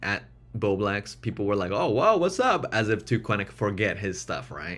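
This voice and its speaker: A man with a non-native accent talks at a moderate pace in a fairly low pitch. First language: not English. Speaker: streamer. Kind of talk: casual chat. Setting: live stream. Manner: hesitant, repeats words.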